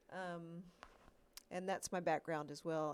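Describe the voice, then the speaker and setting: Here a woman speaks with a Georgia accent. Her pitch is fairly low and her intonation fairly even. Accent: Georgia (US Southern). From US South, Georgia. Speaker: animation professor. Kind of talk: panel discussion. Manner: halting, many fillers.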